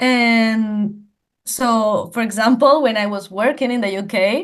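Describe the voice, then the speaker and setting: At a very slow pace, a woman with a Spanish accent speaks at medium pitch with fairly even intonation against a quiet background. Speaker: language teacher. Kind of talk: interview. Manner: halting, many repetitions.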